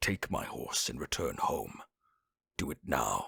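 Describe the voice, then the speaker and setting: Using a raspy, put-on character voice, a man speaks at a fairly slow pace in a dry, close sound with no echo. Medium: read story. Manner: proud, grand.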